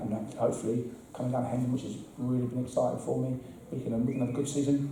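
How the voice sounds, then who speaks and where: A man rushes along at a very fast pace, with audible room echo and noticeable background noise. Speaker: football assistant manager. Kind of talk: interview. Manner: halting, repetitive.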